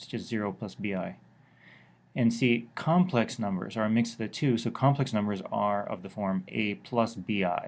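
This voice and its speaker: A man's unremarkable speaking voice at medium pitch, with ordinary pitch variation, a moderate pace and a quiet background. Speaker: math teacher. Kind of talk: lecture.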